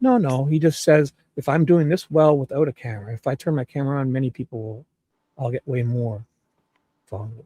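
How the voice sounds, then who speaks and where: A medium-pitched man's voice, somewhat breathy with a dark, mellow tone, at a fairly quick pace with ordinary pitch variation and a dry, close sound with no echo. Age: 50s. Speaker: live stream panelist. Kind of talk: casual chat. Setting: live stream without camera. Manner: animated.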